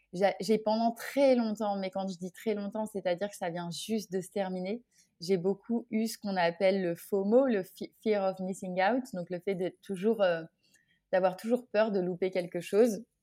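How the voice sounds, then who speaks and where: A woman's dark, mellow, medium-pitched voice at a fairly slow pace, fairly even in intonation but with big swings in loudness, in a very clean, dry, close recording with a silent background and no echo. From France (Orléans). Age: 30s. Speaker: association founder, entrepreneur. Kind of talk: casual interview chat. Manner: hesitant, with frequent repetitions.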